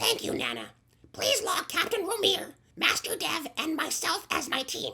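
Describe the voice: A woman uses a put-on character voice at an extremely high pitch. She swings her pitch very widely at a moderate pace.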